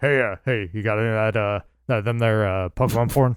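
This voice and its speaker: A man speaks in a put-on character voice at medium pitch. His pace is fairly quick. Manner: dumb, put-on voice.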